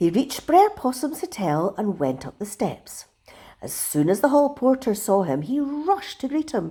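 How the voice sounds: What we hear is a natural reading voice.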